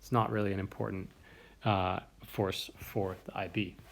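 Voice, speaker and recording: With an American accent and vocal fry, a man talks at a fairly quick pace in a fairly low pitch. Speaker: chemistry teacher. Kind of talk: lecture.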